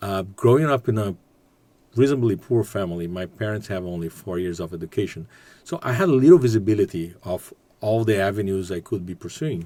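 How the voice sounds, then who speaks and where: A man's fairly low voice in a Portuguese accent, dark and mellow in tone, at a fairly quick pace with ordinary pitch variation. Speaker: business executive and graduate student. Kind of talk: podcast interview. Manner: halting.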